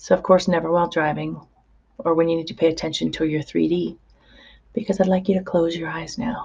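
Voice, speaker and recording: A woman's fairly low voice with vocal fry and ordinary pitch variation. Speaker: hypnotherapist. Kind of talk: guided hypnosis session. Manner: slow, soothing.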